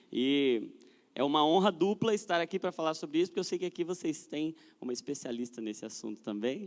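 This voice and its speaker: A man talks at a fairly quick pace. His pitch is fairly high and his intonation is lively. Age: 30s. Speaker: guest speaker at a church youth event. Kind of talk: church talk to a live audience. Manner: casual and joking.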